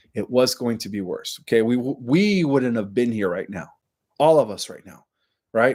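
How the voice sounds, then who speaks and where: The speaker has a Spanish accent and a moderate pace. The recording is very clean, with a silent background. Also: man. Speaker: online conspiracy commentator. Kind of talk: casual monologue to viewers. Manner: filler-heavy, frequent 'right' and 'okay'.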